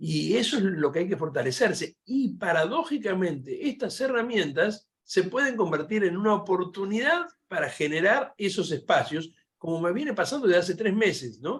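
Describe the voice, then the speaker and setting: A man speaks at a high pitch. His voice swings very widely in pitch. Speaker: philosophy professor. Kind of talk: panel discussion Q&A. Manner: fast.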